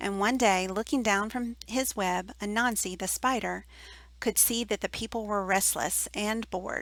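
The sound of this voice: Ordinary pitch variation in an unforced reading voice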